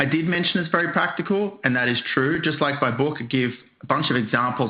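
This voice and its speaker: A man at a fairly quick pace, with an Australian accent and ordinary pitch variation. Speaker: software trainer and author. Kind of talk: webinar presentation. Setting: online webcast with screen sharing.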